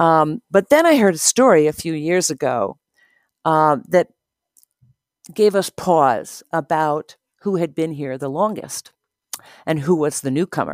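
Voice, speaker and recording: In a very clean recording with a silent background and a dry, close sound without echo, a woman speaks at a very deep, low pitch in an American accent. She is fairly slow, with lively intonation and long, frequent pauses. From New Jersey shore. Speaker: community member telling story. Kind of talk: personal story monologue.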